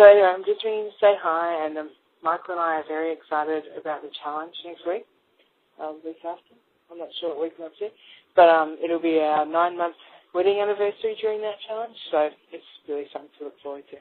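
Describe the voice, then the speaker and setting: The speaker has an Australian accent and talks at a very fast pace. Intonation is fairly even, while loudness swings widely. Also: woman, fairly low pitch for a woman. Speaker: caller. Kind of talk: voicemail message.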